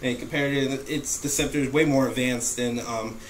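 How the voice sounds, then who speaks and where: The voice keeps a fairly even intonation, with noticeable background noise and audible room echo. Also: man. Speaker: movie reviewer. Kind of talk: casual film review monologue. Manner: fast; halting, many fillers.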